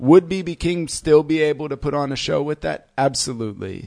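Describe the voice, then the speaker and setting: A man with an American accent at a moderate pace, against a quiet background. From US Midwest (Fort Wayne, Indiana). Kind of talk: casual chat. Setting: studio.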